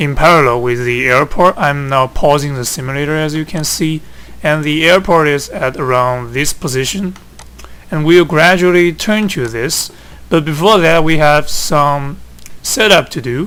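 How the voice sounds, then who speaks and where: Speaking at a moderate pace, a man with a Chinese accent uses a fairly high pitch and ordinary pitch variation. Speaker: flight simulator hobbyist. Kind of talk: tutorial. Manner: halting.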